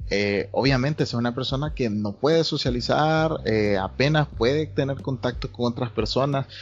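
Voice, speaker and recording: With hardly any pauses, a somewhat breathy man talks at a moderate pace and medium pitch, using ordinary pitch variation. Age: 20s. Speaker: psychology student. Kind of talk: casual chat.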